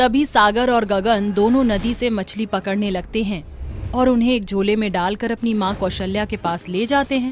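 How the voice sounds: The speech moves at a moderate pace with few pauses. Pitch variation is ordinary. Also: woman, medium pitch for a woman.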